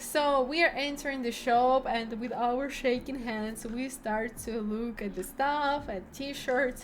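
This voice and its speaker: A high-pitched woman at a very slow pace, with fairly even intonation and hardly any pauses. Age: 20s. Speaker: vlogger and streamer. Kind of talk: casual vlog storytelling. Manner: halting, many fillers.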